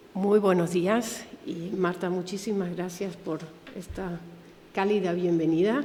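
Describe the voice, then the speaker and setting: With a German accent, a woman speaks very slowly at a medium pitch and with fairly even intonation, amid audible room echo and noticeable background noise. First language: German (speaking Spanish). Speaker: museum director, Holocaust educator. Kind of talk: lecture. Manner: halting.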